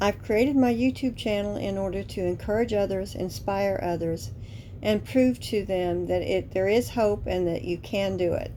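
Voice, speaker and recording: At a moderate pace, a woman with a medium pitch talks in a normal speaking voice. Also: ordinary pitch variation. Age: 60s. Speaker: author reading her own book. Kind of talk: casual talk to camera.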